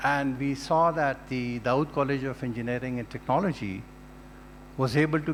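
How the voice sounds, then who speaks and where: Speaking in a Pashto accent, a man with fairly high pitch and ordinary pitch variation talks at a moderate pace. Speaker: retired diplomat, alumnus. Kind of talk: speech. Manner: formal.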